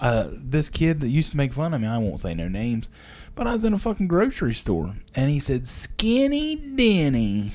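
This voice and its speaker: Using an Appalachian accent, a man talks at a moderate pace in a fairly high pitch, his pitch swinging very widely. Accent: Appalachian Ohio. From southern Ohio, Jackson County. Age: 40s. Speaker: podcast co-host, factory worker. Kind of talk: casual chat.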